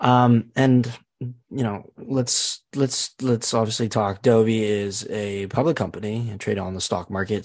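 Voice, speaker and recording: A man speaks at a moderate pace with a fairly low pitch and ordinary pitch variation. He has an unremarkable speaking voice, and the background is quiet. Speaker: student podcast host. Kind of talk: interview.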